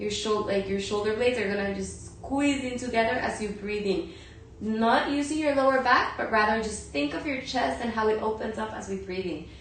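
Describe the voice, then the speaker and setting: A woman with a fairly high pitch talks at a moderate pace with lively intonation. Noticeable background noise and audible room echo fill the recording. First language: Spanish. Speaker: yoga and meditation teacher. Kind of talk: guided yoga and breathing instruction. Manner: halting.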